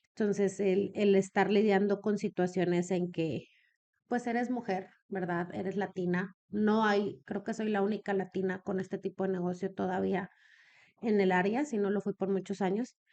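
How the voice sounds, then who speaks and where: A woman speaks at a medium pitch with a dark, mellow tone. Her pace is moderate, and the background is quiet. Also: fairly even intonation. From Mexico, Comarca Lagunera. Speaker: businesswoman in elder care. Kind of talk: podcast interview.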